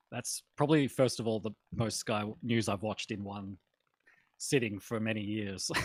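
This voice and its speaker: A man speaks with an Australian accent at a moderate pace. His pitch is fairly low with ordinary variation, and the sound is dry and close with no echo. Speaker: political commentator. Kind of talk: casual chat. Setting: live stream.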